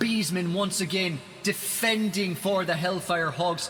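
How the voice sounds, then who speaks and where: High-pitched man's voice with an Irish accent, ordinary pitch variation, and a moderate pace amid noticeable background noise. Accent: Irish accent put on more than usual today. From Ireland. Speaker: esports commentator. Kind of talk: live commentary. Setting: live stream. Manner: animated.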